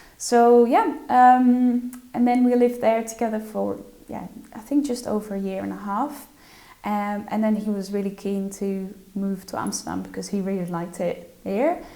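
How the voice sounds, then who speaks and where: A woman with a Dutch accent, fairly high pitched, with ordinary pitch variation at a moderate pace, amid noticeable background noise and audible room echo. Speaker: social media influencer. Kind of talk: interview. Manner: hesitant, many fillers and repetitions.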